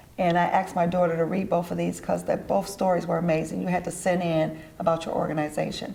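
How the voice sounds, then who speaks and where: Fairly quick and monotone, a woman with an American accent speaks at a fairly low pitch, with audible room echo and noticeable background noise. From Detroit, US Midwest. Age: 60s. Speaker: entrepreneur and event organizer. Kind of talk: TV interview.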